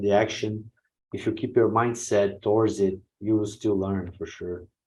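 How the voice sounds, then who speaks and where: A man speaks with a Portuguese accent. His pace is fairly slow and his intonation fairly even. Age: 40s. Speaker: pro wing foil rider. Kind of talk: podcast interview. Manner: halting, non-fluent English.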